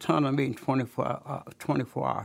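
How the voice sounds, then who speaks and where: Very clean recording with a silent background, a man with an American accent, vocal fry and fairly high pitch. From US Midwest, Kansas City. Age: 80s+. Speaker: barbecue pit builder. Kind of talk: casual chat. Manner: halting.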